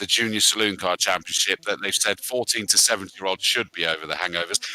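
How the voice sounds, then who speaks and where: Very fast and fairly even in intonation, a man speaks at a fairly low pitch in a bright, sharp tone, with dry, close sound and no echo. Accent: West Country. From West Country, England. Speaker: sim racing commentator. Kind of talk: live commentary sign-off. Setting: live stream. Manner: hesitant, many fillers.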